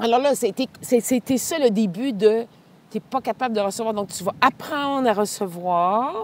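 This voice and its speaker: A fairly slow delivery in a Quebec accent with ordinary pitch variation, dry and close with no echo, on a very clean recording with a silent background. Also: woman, fairly high pitch for a woman. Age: 60s. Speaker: speaker and cancer survivor. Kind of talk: casual interview. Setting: outdoors on a walk.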